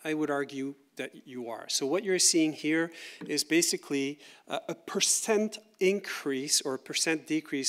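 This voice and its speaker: Fairly high pitch from a man with a French-Canadian accent, on a very clean recording with a silent background. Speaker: university researcher. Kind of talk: lecture. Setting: conference workshop with audience. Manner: conversational, with fillers and repeats.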